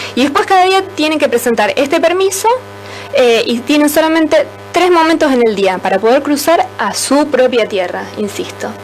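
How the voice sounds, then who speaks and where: A woman with a Rioplatense accent speaks at a high pitch with very wide pitch swings. Music plays in the background. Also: moderate pace. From Rosario, Argentina. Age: young. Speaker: human rights volunteer. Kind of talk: radio interview answer.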